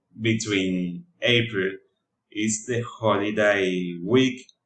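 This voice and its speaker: Very slow speech in a Spanish accent comes out in a flat monotone. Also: man. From Colombia, Cartagena (Caribbean coast). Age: 20s. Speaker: student. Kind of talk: class presentation. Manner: halting, with many fillers.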